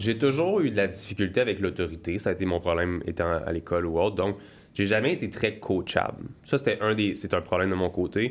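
A man's normal speaking voice, fairly low in pitch, with ordinary pitch variation, a fairly quick pace and very even loudness on a very clean recording with a silent background. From Quebec, Laurentians. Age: 20s. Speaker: entrepreneur. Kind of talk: interview.

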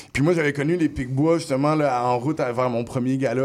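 This man speaks at a medium pitch with fairly even intonation, in an ordinary speaking voice. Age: 30s. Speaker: rapper. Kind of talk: casual interview. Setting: radio studio.

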